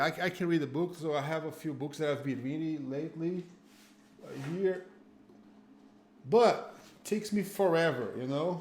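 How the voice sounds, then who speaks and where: Speaking with a Brazilian Portuguese accent, a man uses a fairly high pitch and ordinary pitch variation at a moderate pace, with long, frequent pauses. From Northeast Brazil (Fortaleza). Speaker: jiu-jitsu school owner and instructor. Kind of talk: casual interview chat. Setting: live-streamed online call.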